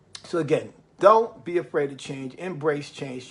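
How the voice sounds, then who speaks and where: A man with a New York accent, at a fairly slow pace. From New York City. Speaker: motivational live streamer. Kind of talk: motivational livestream talk. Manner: repetitive, emphatic.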